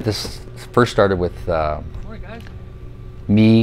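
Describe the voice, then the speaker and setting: Ordinary pitch variation marks a man's speech, with noticeable background noise present. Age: 60s. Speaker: community project organizer. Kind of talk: interview.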